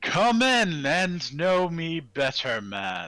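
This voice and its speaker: A man's high, put-on character voice, very slow, with very wide pitch swings. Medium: actual play. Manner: hearty, jovial.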